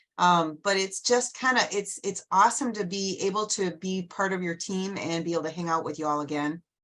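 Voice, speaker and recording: Barely pausing, a woman talks at a fairly quick pace and a medium pitch with ordinary pitch variation. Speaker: Lions club trainer for district governors. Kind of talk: online group meeting briefing. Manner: fast.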